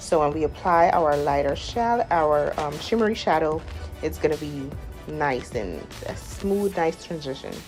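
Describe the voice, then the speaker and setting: An enthusiastic woman with a Guyanese accent at a moderate pace, music playing in the background. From Guyana. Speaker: makeup artist. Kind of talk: makeup tutorial voiceover. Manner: casual, enthusiastic.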